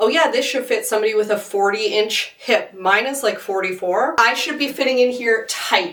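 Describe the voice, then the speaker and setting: Over noticeable background noise, a woman's voice rises and falls with ordinary pitch variation. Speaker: fashion reviewer. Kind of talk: casual talk to camera.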